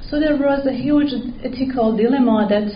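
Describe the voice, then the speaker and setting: A woman's voice at a moderate pace, with audible room echo. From Iran. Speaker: PhD researcher. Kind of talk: conference presentation. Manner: halting.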